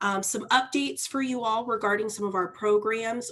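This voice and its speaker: Loud and fairly high-pitched, a woman talks with ordinary pitch variation. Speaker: mortgage lender representative. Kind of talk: sponsor presentation. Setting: video call.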